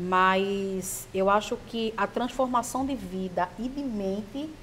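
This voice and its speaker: A woman speaks at a very slow pace in a medium pitch. Her pitch varies in an ordinary way. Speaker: sex coach and adult product seller. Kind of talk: interview. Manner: halting, with repeated words.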